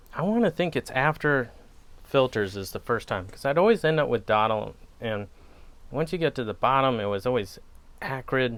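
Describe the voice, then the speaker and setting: A man talks at a moderate pace in a relaxed tone, with a Wisconsin accent. His pitch is medium and his intonation lively. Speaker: pipe tobacco reviewer. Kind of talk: casual chat. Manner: relaxed, hesitant with fillers.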